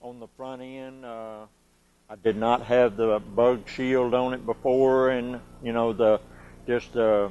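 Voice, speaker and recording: At a very slow pace, a man of medium pitch speaks in a monotone with flat intonation and big swings in loudness. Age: 60s. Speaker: car dealership customer. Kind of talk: testimonial interview. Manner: halting, many fillers.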